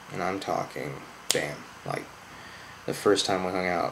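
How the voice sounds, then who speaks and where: Noticeable background noise and audible room echo surround the recording. A man with an American accent speaks at a moderate pace. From US Midwest, Southern Illinois. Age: 20s. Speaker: YouTuber. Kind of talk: personal testimony. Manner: slurred.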